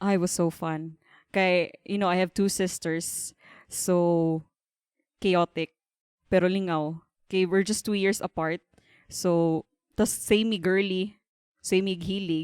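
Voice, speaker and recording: Monotone, flat delivery at a fairly slow pace, in a very clean recording with a silent background and a dry, close sound with no echo. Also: woman. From Philippines, Davao (Mindanao). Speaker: embroidery business owner. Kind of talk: podcast interview.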